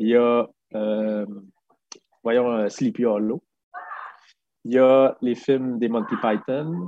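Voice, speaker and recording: Long, frequent pauses mark a man's very slow delivery. His medium-pitched voice keeps fairly even intonation. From Quebec City region, Quebec. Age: 50s. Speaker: film director. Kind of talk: interview.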